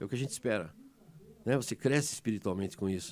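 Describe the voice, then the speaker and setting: A man talks very fast at a medium pitch. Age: 60s. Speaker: emergency doctor. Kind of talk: interview. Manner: animated, emotional; halting, many repetitions.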